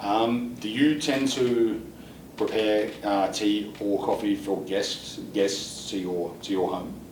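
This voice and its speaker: Someone with an Australian accent talks at a very slow pace with ordinary pitch variation amid noticeable background noise. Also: man, fairly low pitch for a man. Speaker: IELTS examiner. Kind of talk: mock speaking test interview questions.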